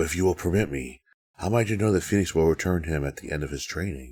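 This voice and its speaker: A put-on character voice from a man, very deep and low in pitch, at a very fast pace. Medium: read story. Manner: guarded, formal.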